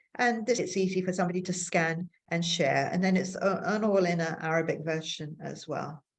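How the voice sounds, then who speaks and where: A woman speaks with an English accent at a moderate pace. Her pitch is fairly low. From England. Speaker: bird photographer and conservation volunteer. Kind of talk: online presentation talk.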